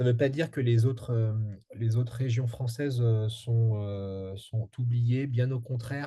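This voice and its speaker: A somewhat breathy man speaks very slowly in a dark, mellow tone with monotone, flat intonation. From France. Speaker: strategic advisor on energy transition. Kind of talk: interview. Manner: halting, many fillers.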